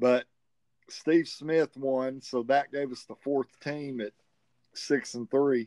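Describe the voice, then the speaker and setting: A man's very slow, medium-pitched voice in a Southern US accent, dark and mellow in tone, with fairly even intonation, long, frequent pauses, and a dry, close sound with no echo. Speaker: tournament organizer, game champion. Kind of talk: interview, casual chat.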